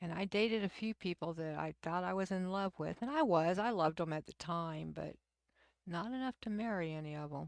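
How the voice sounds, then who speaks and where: Fairly quick speech from a woman with a fairly low pitch and ordinary pitch variation, dry and close with no echo, on a very clean recording against a silent background. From Texas. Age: 60s. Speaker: livestream host. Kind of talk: casual chat. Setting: live stream. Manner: halting.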